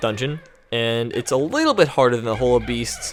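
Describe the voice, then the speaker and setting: Noticeable background noise is audible throughout. Over it, a man talks at a medium pitch. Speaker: gaming commentator. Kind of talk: let's play commentary. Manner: fast.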